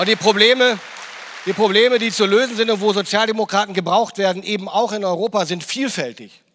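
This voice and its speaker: Crowd noise fills the background as a man with a high pitch talks at a fairly quick pace, his pitch varying in an ordinary way. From northern Germany. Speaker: politician. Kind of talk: political speech. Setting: stage with audience. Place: hall. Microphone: handheld.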